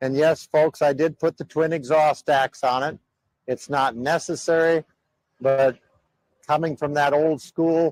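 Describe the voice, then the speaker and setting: Monotone, flat intonation in an American accent, dry and close with no echo. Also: man. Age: 60s. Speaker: truck driver. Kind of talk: casual walkthrough of his truck. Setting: outdoors at a truck show by the interstate. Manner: halting, with fillers.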